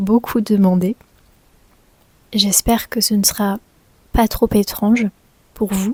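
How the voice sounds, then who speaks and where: A woman talks very slowly with long, frequent pauses, at a medium pitch with a dark, mellow tone and a somewhat breathy quality. Her intonation is monotone and flat, and the sound is dry and close with no echo. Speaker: French teacher vlogger. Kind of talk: casual vlog talk to camera.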